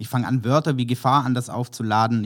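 A man speaks at a medium pitch and a fairly quick pace. His intonation is monotone and flat. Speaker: creative director and copywriter. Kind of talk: casual interview.

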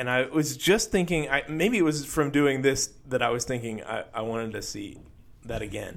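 Speaking at a moderate pace, a man uses an ordinary speaking voice with a fairly high pitch and lively intonation. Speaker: podcast co-host. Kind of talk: casual chat about faith.

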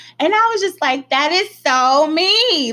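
A woman speaks in a raised, projected voice with a bright, sharp tone, animated and full of very wide pitch swings, at a fairly slow pace. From Texas. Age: 30s. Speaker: podcast host. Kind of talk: casual chat.

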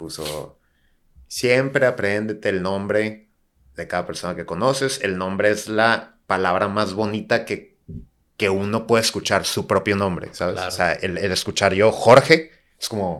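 A man with an ordinary speaking voice, fairly low pitch with ordinary variation, and a fairly slow pace, on a very clean recording over a silent background. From Tijuana, Mexico. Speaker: architect and bar entrepreneur. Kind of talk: casual chat.

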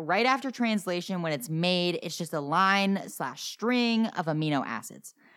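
An American-accented woman speaks at a moderate pace in a fairly low pitch. Her tone is animated and playful, her intonation lively, on a very clean recording with a silent background. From New Jersey. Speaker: podcast host teaching biology. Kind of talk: casual educational chat. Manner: animated, playful.

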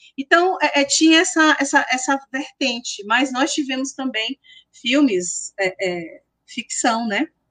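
At a very slow pace, a woman with a high pitch speaks with lively intonation in a dry, close sound with no echo. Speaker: history professor and researcher. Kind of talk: interview.

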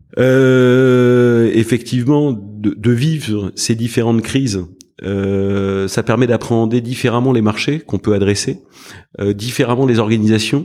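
A man speaks at a fairly slow pace in a medium pitch with fairly even intonation. His loudness stays very even, and his tone is dark and mellow. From Paris, France. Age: 40s. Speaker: private equity fund president. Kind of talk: interview. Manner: halting, many fillers and repetitions.

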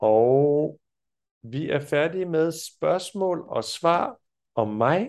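A man's fairly high voice at a very slow pace, with lively intonation, long, frequent pauses and a quiet background. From France. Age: 40s. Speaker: Danish teacher. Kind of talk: language lesson.

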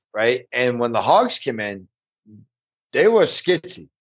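A man speaks with lively intonation. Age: 30s. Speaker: new bowhunter. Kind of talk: casual interview.

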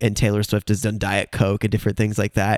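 With an American accent, a man speaks at a medium pitch, with a dry, close sound with no echo, in a very clean recording with a silent background. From Cleveland, Ohio. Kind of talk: casual podcast interview.

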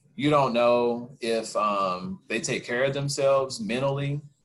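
His voice sits at a medium pitch and moves up and down in an ordinary way. The man has a plain, everyday voice. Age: 30s. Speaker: podcast co-host. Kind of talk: casual chat.

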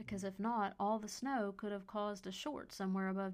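The intonation of this unforced reading voice stays fairly even.

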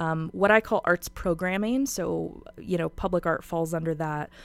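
Recorded very cleanly against a silent background, a woman with a plain, everyday voice speaks at a moderate pace in a fairly low pitch with ordinary pitch variation. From Spokane, Washington, US Pacific Northwest. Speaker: arts nonprofit executive director. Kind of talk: radio interview.

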